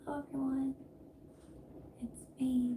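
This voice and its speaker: A female-sounding, squeaky put-on character voice with a high pitch speaks in a monotone, flat way. Clear background noise runs underneath. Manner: timid.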